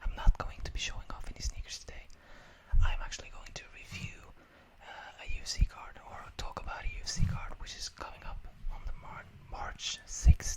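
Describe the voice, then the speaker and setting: Someone whispers at a moderate pace. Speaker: ASMR creator. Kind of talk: whispered ASMR ramble about a fight card. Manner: whispered.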